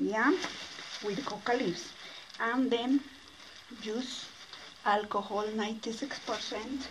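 Against noticeable background noise, a woman speaks at a very slow pace with fairly even intonation. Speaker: mine tour guide. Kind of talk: explanation to visitor in simple English. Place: tunnel cave. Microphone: phone near.

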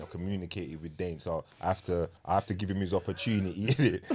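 With a London accent, a man talks at a fairly quick pace in a very deep, low pitch, over light background noise. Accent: London multicultural English. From England. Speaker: podcast host. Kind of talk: casual chat. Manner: animated. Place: studio. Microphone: studio mic.

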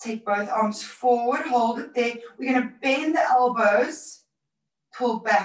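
A woman speaks at a very slow pace with a high pitch and ordinary pitch variation. The background is quiet, though room echo is audible. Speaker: fitness instructor. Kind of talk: exercise class instructions. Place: home room. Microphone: camera far.

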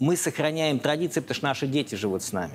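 With light background noise present, a man delivers his words at a very fast pace and ordinary pitch variation. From Russia. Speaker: foundation director and researcher. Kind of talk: TV interview. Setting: TV studio. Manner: hesitant, with frequent filler sounds. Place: studio. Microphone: lapel.

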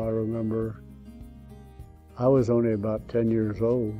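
A man speaks with an American accent and fairly even intonation. Faint music plays in the background. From Ohio, USA. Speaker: elderly man telling his life story. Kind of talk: oral history, personal reminiscence. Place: home room.

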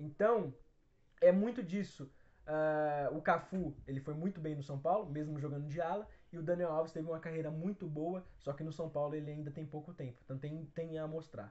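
A man's fairly high voice holds a moderate pace, its pitch varying in an ordinary way. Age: 20s. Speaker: football fan channel host. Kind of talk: solo Q&A video answering viewer questions. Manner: casual, with frequent fillers. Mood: relaxed, smiling. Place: home room. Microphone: phone near.

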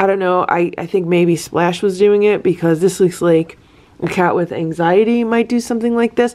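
Her intonation stays fairly even as the woman talks. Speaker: cat rescue vlogger. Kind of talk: casual vlog chat. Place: home room. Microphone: phone near.

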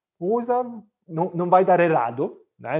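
A man's dark, mellow tone in an Italian accent against a quiet background. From Milan, northern Italy. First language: Italian (speaking Portuguese). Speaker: cooking teacher. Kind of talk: live cooking class. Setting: home kitchen, livestream. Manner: halting, many fillers. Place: kitchen.

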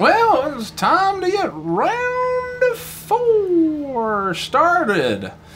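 A put-on character voice goes along at a very slow pace with hardly any pauses. Clear background noise sits behind it. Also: man, extremely high pitch for a man.

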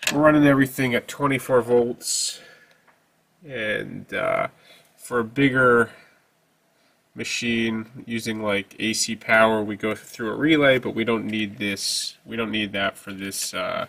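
The speech moves at a fairly slow pace with fairly even intonation and long, frequent pauses. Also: man. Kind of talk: tutorial. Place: workshop.

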